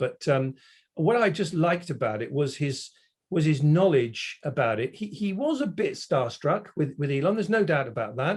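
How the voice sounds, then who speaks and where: A man talks at a fairly quick pace and a fairly high pitch. His voice is somewhat breathy and moves in very wide pitch swings. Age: 60s. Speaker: automotive industry consultant. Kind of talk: casual interview chat.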